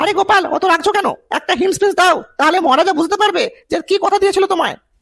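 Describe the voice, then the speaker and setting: This cartoonish character voice sits at an extremely high pitch and races along at a very fast pace. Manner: calm, coaxing.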